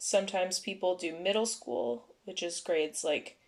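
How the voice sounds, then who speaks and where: With a Canadian accent, a woman speaks fairly slowly at a medium pitch, her voice showing vocal fry. Her pitch swings very widely, and the recording is very clean with a silent background. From Canada, Ontario (Vaughan). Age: 20s. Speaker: podcast co-host. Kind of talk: casual chat.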